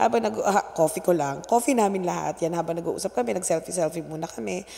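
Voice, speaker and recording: Very fast, animated speech from a woman with a fairly low pitch and lively intonation, over noticeable background noise. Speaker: vlogger. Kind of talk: vlog monologue. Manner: talkative.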